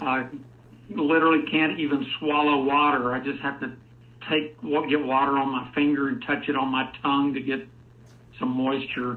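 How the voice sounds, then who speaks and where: Audible room echo surrounds a monotone, flat voice moving at a moderate pace. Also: man, fairly high pitch for a man. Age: 60s. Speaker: caller. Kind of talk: testimony.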